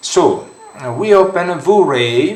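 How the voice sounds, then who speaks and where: Audible room echo and noticeable background noise. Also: man. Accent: strong Italian. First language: Italian. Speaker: 3D modeling tutorial creator. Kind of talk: software tutorial. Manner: halting, many fillers.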